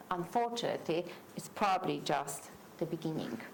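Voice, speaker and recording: A woman with a Polish accent speaks in a fairly low voice at a moderate pace over noticeable background noise. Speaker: panel speaker, academic author. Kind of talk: panel talk. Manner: halting, many repetitions.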